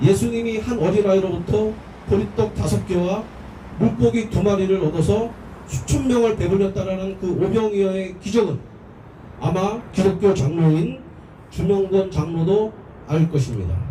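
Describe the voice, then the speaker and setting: Speech at a moderate pace broken by long, frequent pauses, with audible room echo and noticeable background noise. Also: man, high pitch for a man, ordinary pitch variation. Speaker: speaker at a labor prayer rally. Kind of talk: protest rally speech.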